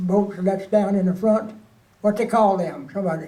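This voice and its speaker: His voice is high for a man, with a dark, mellow tone. The intonation stays monotone and flat. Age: 80s+. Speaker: war veteran. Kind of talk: interview answer. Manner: casual storytelling.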